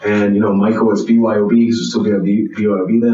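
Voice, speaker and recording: The speech moves at a fairly quick pace. Noticeable background noise and audible room echo surround it. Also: man. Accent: American. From Pittsburgh, US. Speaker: restaurant owner. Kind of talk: casual chat. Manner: animated.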